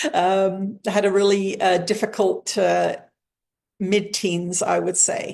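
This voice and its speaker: A woman with an English accent speaks very slowly at a very even loudness over a quiet background. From England. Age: 60s. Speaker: spiritual teacher and channel. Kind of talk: interview.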